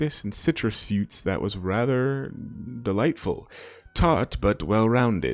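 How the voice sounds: Ordinary pitch variation across a natural reading voice.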